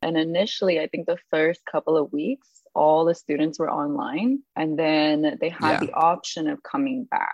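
Her voice fairly low in pitch, a woman moves through very wide pitch swings at a moderate pace. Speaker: high school teacher. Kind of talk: casual chat.

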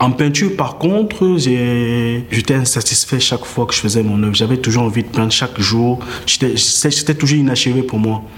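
A man's medium-pitched voice at a moderate pace, very even in loudness, over noticeable background noise. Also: ordinary pitch variation. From Cameroon. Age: 30s. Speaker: visual artist and body painter. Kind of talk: interview. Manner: halting, with repetitions.

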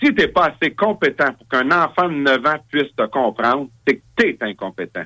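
A man's fairly high, bright and sharp voice with very wide pitch swings, at a moderate pace with hardly any pauses, dry and close with no echo. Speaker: political party leader. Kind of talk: interview.

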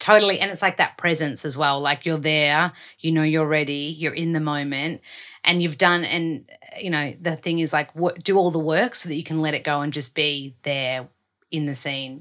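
A woman with an Australian accent, very deep and low in pitch, bright and sharp in tone, her intonation fairly even. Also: moderate pace. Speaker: podcast host. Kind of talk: casual interview.

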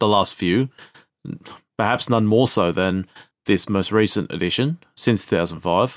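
Recorded with a dry, close sound and no echo, a man with an Australian accent speaks at a moderate pace in a fairly low pitch with ordinary pitch variation. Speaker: football podcast co-host. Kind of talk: casual chat.

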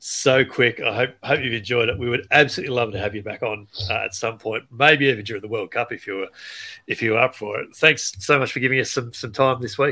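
A man with an Australian accent, his bright, sharp tone at a medium pitch with ordinary variation, moving at a fairly quick pace in a very clean recording with a silent background. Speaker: podcast host. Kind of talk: casual interview chat with podcast intro.

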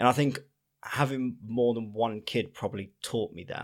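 In a normal speaking voice of medium pitch, a man talks at a moderate pace with fairly even intonation on a very clean recording with a silent background. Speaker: podcast co-host, dad. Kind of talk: casual chat.

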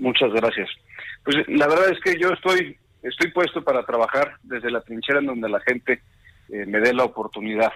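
A man with a plain, everyday voice speaks at a moderate pace in a medium pitch, his intonation lively. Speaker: politician. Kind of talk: interview.

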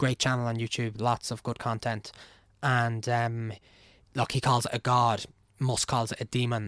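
In a very clean recording with a silent background, a man speaks at a moderate pace and medium pitch, the sound dry and close with no echo. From Ireland (Navan). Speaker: engineer. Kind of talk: casual chat. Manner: animated, casual, profane.

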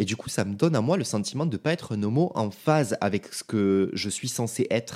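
A man speaks in a plain, everyday voice at a fairly quick pace with lively intonation, recorded very cleanly against a silent background. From France (provinces). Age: 20s. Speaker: podcaster. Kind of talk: solo podcast monologue. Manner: casual, informal.

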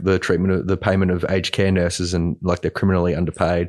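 Speaking with an Australian accent, a man talks at a very deep, low pitch. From country Queensland, Australia. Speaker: journalist. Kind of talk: casual chat.

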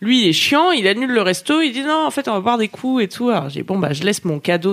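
A woman talks at a very fast pace in an animated tone with very wide pitch swings, with noticeable background noise behind her. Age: 30s. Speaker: podcast co-host. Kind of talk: casual chat. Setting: live stream.

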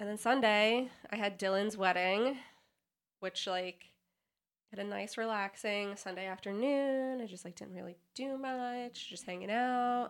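A woman speaks at a fairly slow pace with an unremarkable speaking voice. Her pitch varies an ordinary amount while her loudness swings widely. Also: medium pitch for a woman. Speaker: podcast co-host. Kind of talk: casual chat.

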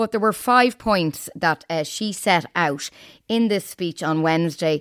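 Her pitch swings very widely as a woman speaks in a very clean recording with a silent background and a dry, close sound with no echo. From Ireland. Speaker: podcast host and journalist. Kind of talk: news podcast discussion and interview.

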